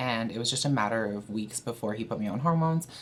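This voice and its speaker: With a very deep, low pitch and ordinary pitch variation, a woman speaks at a fairly quick pace. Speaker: video blogger. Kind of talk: casual vlog talk. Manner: casual with many fillers.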